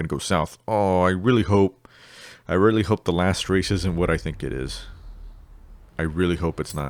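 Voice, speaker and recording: In a very clean recording with a silent background, a man with a very deep, low pitch talks at a fairly slow pace with ordinary pitch variation. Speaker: gaming video creator. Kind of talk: gameplay commentary. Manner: halting, stops mid-sentence.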